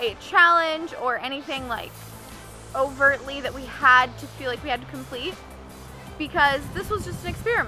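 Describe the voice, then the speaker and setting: The voice is raised and projected, with ordinary pitch variation. Faint music plays in the background. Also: woman. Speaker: health vlogger. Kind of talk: casual vlog chat. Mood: upbeat, friendly. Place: forest.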